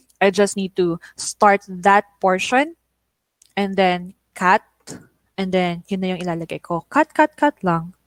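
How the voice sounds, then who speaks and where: A woman with a Filipino accent speaks at medium pitch with ordinary pitch variation. She goes at a fairly slow pace with long, frequent pauses, in a dry, close sound with no echo. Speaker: online teaching trainer. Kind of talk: tutorial. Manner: stutters; code-switching English and Tagalog.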